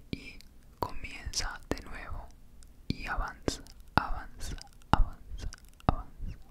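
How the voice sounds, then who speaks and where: Whispering and soft-spoken, the voice has a soothing tone. It moves at a very slow pace. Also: man. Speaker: ASMR creator. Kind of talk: soft ASMR whispered encouragement. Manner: soft soothing ASMR whisper. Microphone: handheld.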